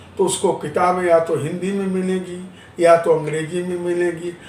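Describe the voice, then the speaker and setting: Recorded with audible room echo, a man speaks at a high pitch. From Maharashtra, India. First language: Marathi (speaking Hindi). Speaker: interviewee on language politics. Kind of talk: news interview.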